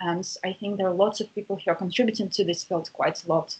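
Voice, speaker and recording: Speaking at a very fast pace in a Russian accent, a woman with a medium pitch is heard over noticeable background noise. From Russia, St. Petersburg. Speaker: university lecturer and researcher. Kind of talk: interview.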